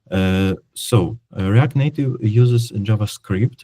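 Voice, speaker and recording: Speaking fairly slowly with a non-native accent, a man has a fairly low pitch and a dark, mellow tone, recorded dry and close with no echo. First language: not English. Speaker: software developer. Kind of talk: technical presentation. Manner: halting, many fillers.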